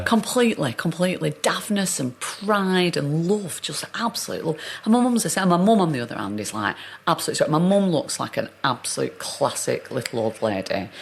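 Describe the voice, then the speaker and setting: A woman speaks with a strong Northern English accent and vocal fry at a fairly low pitch. Her pitch swings very widely, and her pace is moderate. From Northern England. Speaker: actor. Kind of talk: interview answer.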